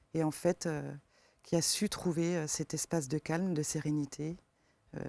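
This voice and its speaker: On a very clean recording with a silent background and a dry, close sound with no echo, a woman speaks at a fairly slow pace in a very deep, low pitch with a dark, mellow tone and monotone, flat intonation. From eastern France. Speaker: forest therapy guide. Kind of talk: interview. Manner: hesitant, many fillers.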